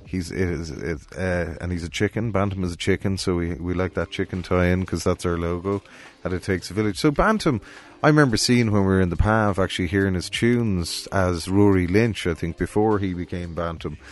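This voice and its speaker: With a Cork accent, a man speaks at a fairly quick pace. His very deep, low pitch shows ordinary pitch variation. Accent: Cork Irish. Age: 40s. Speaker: music promoter and festival director. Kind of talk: casual interview chat. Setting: studio.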